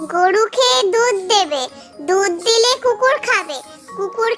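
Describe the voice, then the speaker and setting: A cartoonish character voice at a very slow pace, over clear music in the background. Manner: fast, repetitive listing.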